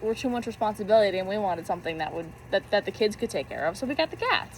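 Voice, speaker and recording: Fairly high in pitch, a woman talks at a very fast pace with very wide pitch swings. Noticeable background noise runs underneath. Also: hardly any pauses. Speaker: youtuber. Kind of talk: casual chat. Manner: halting.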